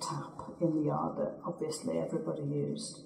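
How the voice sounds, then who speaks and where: With an English Midlands accent, a woman speaks at a moderate pace over noticeable background noise. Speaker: local resident. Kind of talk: oral history interview.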